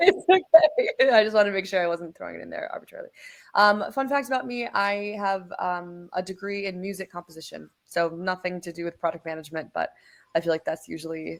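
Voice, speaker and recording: A woman talks at a fairly quick pace, her loudness swinging widely. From US Midwest, Minnesota. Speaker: product lead at a software company. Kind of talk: webinar panel discussion.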